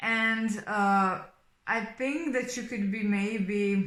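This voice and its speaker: Speaking very slowly with a Slovenian accent, a woman uses a fairly high voice with ordinary pitch variation. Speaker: tarot reader. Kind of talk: tarot reading monologue. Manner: hesitant, many fillers.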